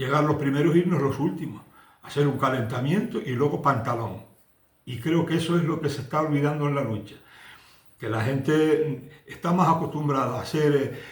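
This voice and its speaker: There is audible room echo around this man's fairly high voice. He speaks at a moderate pace with ordinary pitch variation. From Canary Islands, La Palma. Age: 70s. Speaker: retired Canarian wrestler. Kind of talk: interview testimony. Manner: halting, with repetitions.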